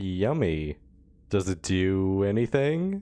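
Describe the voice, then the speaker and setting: A put-on character voice speaks at a low pitch. The pace is very slow. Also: quiet background. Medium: video game.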